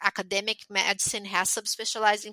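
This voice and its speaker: Speaking with a Portuguese accent, a woman has a bright, sharp tone with vocal fry, recorded with a dry, close sound and no echo. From Brazil. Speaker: pathologist. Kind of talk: interview.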